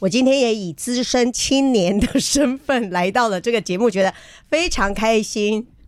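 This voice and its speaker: A woman with an unremarkable speaking voice talks at a fairly slow pace, her fairly high pitch showing ordinary pitch variation. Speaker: journalist and biographer. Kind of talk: radio interview.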